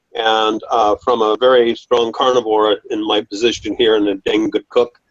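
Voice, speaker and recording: A man with an ordinary speaking voice, fairly even intonation and a moderate pace. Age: 60s. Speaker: audience member asking a question. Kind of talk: question from audience.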